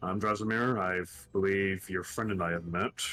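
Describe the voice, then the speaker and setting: Putting on a character voice, a soft-spoken man talks at a moderate pace with a fairly low pitch. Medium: actual play. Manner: polite, gentle, soft-spoken.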